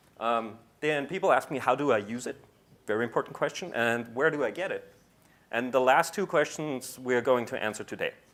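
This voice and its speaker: In a normal speaking voice, a man talks at a medium pitch and a moderate pace with ordinary pitch variation. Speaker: compiler engineer, conference speaker. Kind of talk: conference talk.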